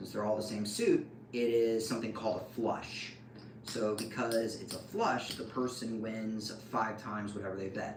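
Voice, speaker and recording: A man speaks with fairly even intonation. Room echo is audible and there is noticeable background noise. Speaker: card game streamer. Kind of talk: live stream tutorial. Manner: casual, filler-heavy.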